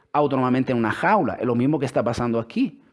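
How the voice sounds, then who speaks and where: With an Italian accent, the speaker talks at a fairly quick pace. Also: man. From Italy. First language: Italian (speaking Spanish). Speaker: religious speaker. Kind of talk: religious talk with scripture reading. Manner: halting.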